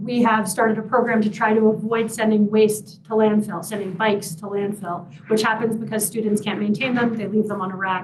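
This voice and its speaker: There is audible room echo on this recording. A woman speaks in a fairly high voice. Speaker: university sustainability director. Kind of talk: public presentation. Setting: public forum with Zoom audience. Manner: fast.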